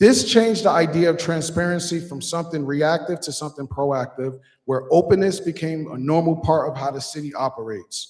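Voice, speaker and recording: A man talks at a fairly quick pace in a plain, everyday voice. His pitch varies in an ordinary way. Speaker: resident activist. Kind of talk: public comment speech at city council meeting.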